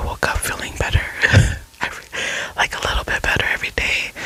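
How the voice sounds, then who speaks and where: Someone whispers over noticeable background noise. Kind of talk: ASMR whispered ramble. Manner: whispered; soft-spoken, relaxing.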